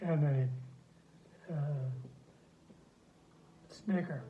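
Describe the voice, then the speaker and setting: With an American accent, a man speaks at a fairly high pitch in a somewhat breathy, dark, mellow tone with fairly even intonation. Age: 80s+. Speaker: retired dairy farmer and rancher. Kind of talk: interview answer. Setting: phone recording.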